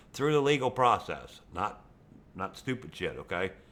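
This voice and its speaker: A man speaks with a Western Pennsylvania accent. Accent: Western Pennsylvania American. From Pennsylvania, US. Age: 60s. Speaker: YouTube gamer. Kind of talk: rant over gameplay. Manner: animated.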